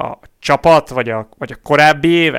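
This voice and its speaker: A plain, everyday voice at a fairly quick pace with ordinary pitch variation, in a very clean recording with a silent background and a dry, close sound with no echo. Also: man. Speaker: cycling podcast co-host. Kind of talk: casual chat.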